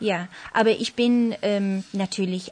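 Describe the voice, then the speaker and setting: A woman speaks in a somewhat breathy voice. Her intonation stays monotone and flat. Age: 30s. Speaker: ballet dancer. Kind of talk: panel discussion. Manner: hesitant, many fillers.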